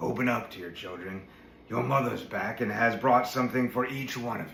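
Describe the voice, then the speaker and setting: A man's raspy, gruff put-on character voice at a medium pitch and moderate pace, with clear background noise. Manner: feigned sweetness, deceptive.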